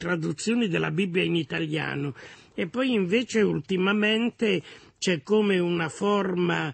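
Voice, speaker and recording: The recording sounds dry with no echo, against a quiet background. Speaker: guest. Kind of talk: interview answer. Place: studio.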